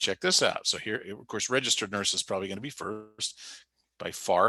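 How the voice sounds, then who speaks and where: A man at a fairly quick pace in a very clean recording with a silent background. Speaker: career services director. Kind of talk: workshop presentation with live demo. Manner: fast; animated.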